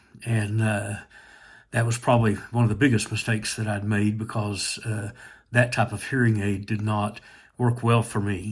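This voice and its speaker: A somewhat breathy man at a fairly low pitch, monotone and flat in intonation, at a moderate pace. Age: 60s. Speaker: hearing aid customer. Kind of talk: testimonial. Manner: hesitant, many fillers.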